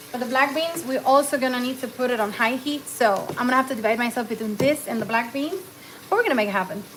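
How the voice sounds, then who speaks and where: Noticeable background noise sits behind a woman speaking very fast in a high voice. Her pitch varies in an ordinary way. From Cuba. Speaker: cooking livestreamer. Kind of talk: live cooking stream chat. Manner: casual, code-switching English and Spanish.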